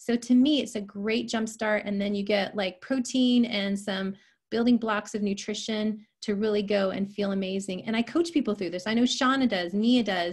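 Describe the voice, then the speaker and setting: Somewhat breathy speech comes at a moderate pace over a quiet background. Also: woman, fairly high pitch for a woman, ordinary pitch variation. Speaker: health and nutrition coach. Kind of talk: online presentation.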